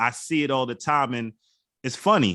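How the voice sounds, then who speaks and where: Speaking at a moderate pace, a man has an unremarkable speaking voice with an American accent. His pitch is medium, with ordinary variation. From Bronx, New York. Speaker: wine auctioneer and hip hop culture creative agency head. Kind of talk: interview answer.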